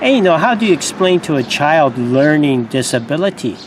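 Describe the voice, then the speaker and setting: Noticeable background noise sits behind a man's voice. He talks fairly slowly, his pitch swinging very widely. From USA, Japanese mother, born in Japan. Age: 50s. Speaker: video blogger, Navy veteran. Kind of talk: casual personal vlog monologue. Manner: halting, many fillers and repetitions.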